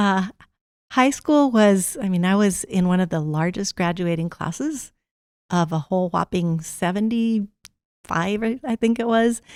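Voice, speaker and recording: The recording is very clean, with a silent background. A woman with a Spanish accent speaks at a fairly slow pace in a medium pitch, with lively intonation. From rural Arizona, Mexican immigrant family. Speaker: college administrator. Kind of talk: interview. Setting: studio.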